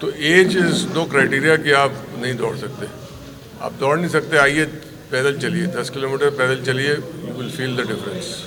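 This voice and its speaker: A man speaks at a moderate pace in a fairly high pitch with fairly even intonation. Audible room echo and noticeable background noise fill the recording. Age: 60s. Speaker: amateur runner. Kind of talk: press statement. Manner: halting.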